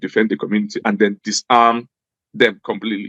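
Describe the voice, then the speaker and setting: This is a man with a northern Nigerian accent. His voice sits at a medium pitch. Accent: Nigerian English with Hausa. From Nigeria, Jos (Plateau State). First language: Hausa. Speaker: former government official. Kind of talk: interview.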